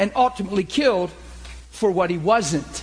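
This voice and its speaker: A man's high voice at a moderate pace, animated in tone with lively intonation. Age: 40s. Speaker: pastor teaching a class. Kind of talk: sermon-style teaching with group discussion.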